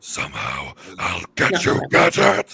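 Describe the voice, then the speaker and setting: A man's raspy, put-on character voice at a fairly slow pace. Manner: menacing, theatrical.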